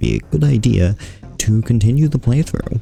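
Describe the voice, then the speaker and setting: A quiet man's fairly low voice amid noticeable background noise. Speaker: gaming youtuber. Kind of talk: let's play commentary. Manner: quiet, keeping voice down; casual, halting with fillers.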